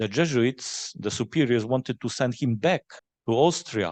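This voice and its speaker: A man talks at a moderate pace with a Polish accent and ordinary pitch variation. The sound is dry and close with no echo, over a quiet background. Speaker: forum moderator. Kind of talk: panel Q&A. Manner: halting.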